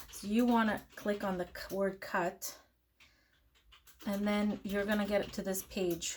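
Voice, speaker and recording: Speaking at a fairly slow pace with long, frequent pauses, a woman uses a medium pitch, a somewhat breathy quality and a flat, monotone delivery. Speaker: crafting tutorial youtuber. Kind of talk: tutorial. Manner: casual, hesitant with fillers.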